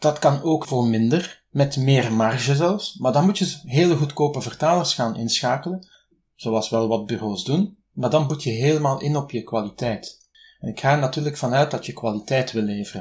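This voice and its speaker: A somewhat breathy man with a Flemish accent, fairly high in pitch, at a moderate pace with ordinary pitch variation, on a very clean recording with a silent background. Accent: Flemish Dutch. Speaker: freelance translator. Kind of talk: interview.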